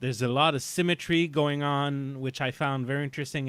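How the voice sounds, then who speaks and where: Fairly even intonation marks this man's speech. He has a Quebec accent and keeps a moderate pace. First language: French. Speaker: podcast host. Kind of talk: casual chat. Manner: halting, many fillers.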